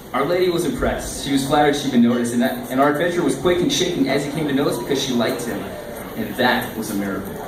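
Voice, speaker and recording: A man talks at a very fast pace, his pitch medium with ordinary variation. Noticeable background noise runs behind him. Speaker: slam poet. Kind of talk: poetry reading.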